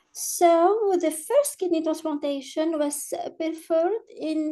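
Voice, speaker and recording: Very slowly and with lively intonation, someone with a French accent speaks in a dark, mellow tone. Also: woman. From Algeria. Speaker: nephrology professor. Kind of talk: conference presentation. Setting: webinar video call.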